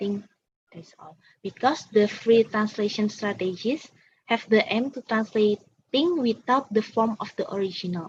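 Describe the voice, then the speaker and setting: A woman with an Indonesian accent speaks at a moderate pace and a fairly high pitch, somewhat breathy, with big swings in loudness. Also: ordinary pitch variation. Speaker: student presenter. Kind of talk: Q&A answers at academic seminar. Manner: halting.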